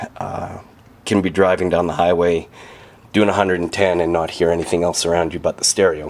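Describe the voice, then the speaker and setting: A man speaks with a very deep, low pitch. Noticeable background noise sits behind him. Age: 40s. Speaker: car owner. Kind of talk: casual walkaround talk to camera. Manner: hesitant, many filler sounds.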